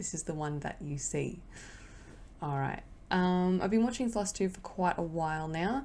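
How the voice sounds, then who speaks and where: A woman talks with an Australian accent and ordinary pitch variation. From Australia, Victoria. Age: 20s. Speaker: cross-stitch vlogger. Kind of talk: casual vlog talk to camera. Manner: casual, hesitant with fillers.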